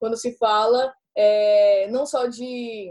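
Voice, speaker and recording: Speaking high for a woman, she has a dark, mellow tone. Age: young. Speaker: writer. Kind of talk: casual chat.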